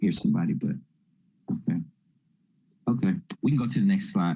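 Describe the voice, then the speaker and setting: Somewhat breathy, a man talks with a dark, mellow tone. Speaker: mental health presenter. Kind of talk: lecture. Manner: fast.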